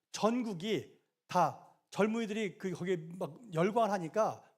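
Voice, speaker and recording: A man speaks in an animated tone at a high pitch. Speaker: pastor. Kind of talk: bible study. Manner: fast.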